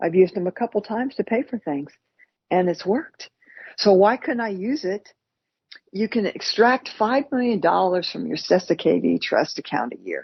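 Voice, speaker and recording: A woman speaks with an American accent. Her voice sounds somewhat breathy. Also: medium pitch for a woman, lively intonation, moderate pace. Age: 60s. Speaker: podcast co-host. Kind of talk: casual chat. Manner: halting, repetitive.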